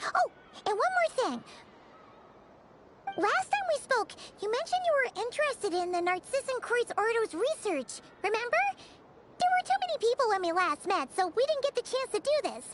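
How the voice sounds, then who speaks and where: Amid loud background noise, a female-sounding voice uses a put-on character voice at an extremely high pitch with long, frequent pauses. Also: moderate pace. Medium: video game. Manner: bright, chatty.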